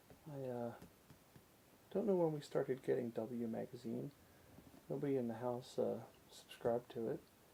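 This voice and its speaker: Soft-spoken and somewhat breathy, a man talks at a moderate pace with a medium pitch, ordinary pitch variation and a dark, mellow tone. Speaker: photography enthusiast. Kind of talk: ASMR photography commentary.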